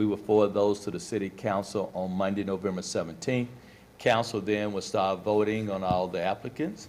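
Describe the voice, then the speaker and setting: Using a normal speaking voice, this man talks at a moderate pace, fairly low in pitch with fairly even intonation. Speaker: interview panel member. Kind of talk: formal interview questioning.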